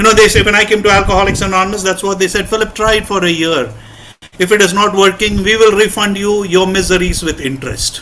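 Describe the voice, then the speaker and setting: Projecting a raised voice, a man talks at a very fast pace with a high pitch. His intonation is fairly even, and there is noticeable background noise. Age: 60s. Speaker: recovering alcoholic speaker at support meeting. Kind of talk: testimony.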